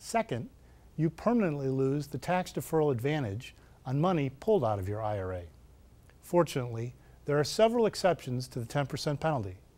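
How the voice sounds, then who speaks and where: The speaker is a man with a fairly quick delivery. Very wide swings mark his pitch. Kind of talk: scripted TV tip segment. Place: studio.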